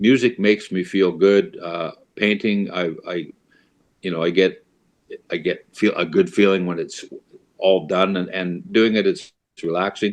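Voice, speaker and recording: A man with a western Canadian accent talks at a moderate pace in a fairly low pitch. His intonation is fairly even, broken by long, frequent pauses. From Canada, Alberta. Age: 70s. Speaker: blues musician and painter. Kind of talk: casual chat. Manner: halting.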